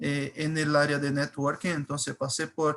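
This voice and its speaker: A man speaks with a Brazilian accent in a fairly high pitch for a man. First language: Portuguese (speaking Spanish). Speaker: cybersecurity engineer. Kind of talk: webinar presentation. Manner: halting, many fillers.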